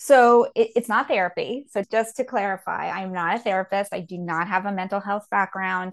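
A woman's ordinary speaking voice, medium in pitch, with ordinary pitch variation and a moderate pace. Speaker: divorce coach. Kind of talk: interview.

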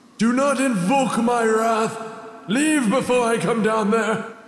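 At a fairly slow pace, a man performs a put-on character voice at an extremely high pitch, with slight echo. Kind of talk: comic overacting. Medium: audio drama.

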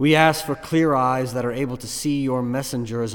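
A man's medium-pitched voice, an ordinary speaking voice with ordinary pitch variation, at a moderate pace. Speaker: pastor. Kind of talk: fervent prayer. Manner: earnest, pleading, solemn.

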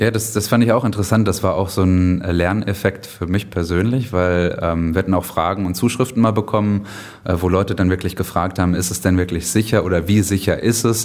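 A man's very deep, low voice at a fairly quick pace, with fairly even intonation and noticeable background noise. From Germany. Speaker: author and blogger about a city. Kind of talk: interview.

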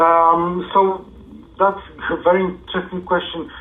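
At a moderate pace, a man talks with a Polish accent. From Poland. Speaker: SEO consultant. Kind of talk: interview.

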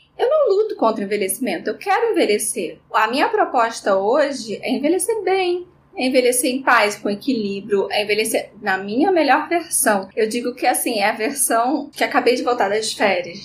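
Hardly pausing, a high-pitched woman's voice swings very widely in pitch against noticeable background noise. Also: moderate pace. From Rio de Janeiro, Brazil. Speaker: dermatologist. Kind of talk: interview.

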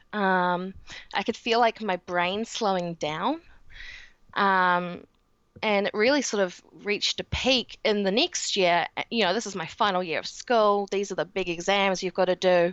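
In a New Zealand accent, a woman speaks at a fairly slow pace. Her pitch is medium. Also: ordinary pitch variation. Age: 20s. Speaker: guest with chronic illness. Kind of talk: casual interview.

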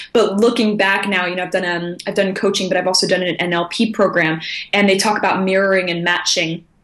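A woman's medium-pitched, monotone voice with flat intonation, a fairly quick pace and noticeable background noise. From international upbringing (Japan, Germany, South Africa, Austria). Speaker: results coach. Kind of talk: interview.

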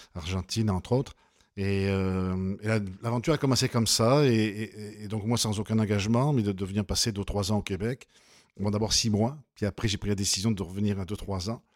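A man's fairly low voice at a moderate pace with fairly even intonation, on a very clean recording with a silent background. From southern France, near Nîmes. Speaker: winery co-owner. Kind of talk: interview. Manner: halting.

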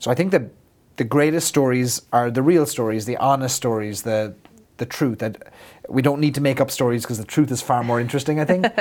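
With an Irish accent, a man talks at a fairly quick pace and medium pitch, his pitch varying in an ordinary way. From Ireland. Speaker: business consultant. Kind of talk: interview.

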